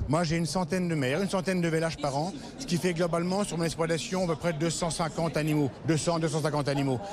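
Against noticeable background noise, a man with a fairly high pitch talks at a fairly quick pace with fairly even intonation. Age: 60s. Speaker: cattle farmer. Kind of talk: interview. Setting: agricultural trade fair.

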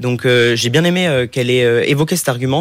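This man has a normal speaking voice at a medium pitch with ordinary pitch variation. He speaks at a fairly quick pace. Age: 20s. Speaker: business school student. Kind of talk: interview questions. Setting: studio.

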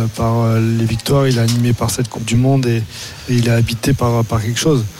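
Against noticeable background noise, a medium-pitched man speaks in a monotone with flat intonation. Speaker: former rugby player, pundit. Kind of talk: casual radio analysis. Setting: stadium broadcast.

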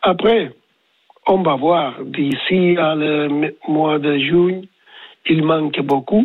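This man talks at a very slow pace in a fairly high pitch, with ordinary pitch variation, long and frequent pauses, and very even loudness. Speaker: tennis coach. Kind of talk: radio interview. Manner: halting, searching for words.

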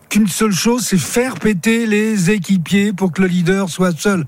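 Pitched high for a man, his voice moves at a moderate pace and varies in pitch in an ordinary way. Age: old. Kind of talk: live radio sports talk.

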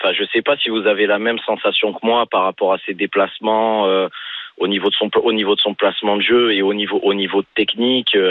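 Monotone, flat intonation marks a man's fairly low-pitched voice. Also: fairly quick pace. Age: 30s. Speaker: football supporter caller. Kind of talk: phone-in call.

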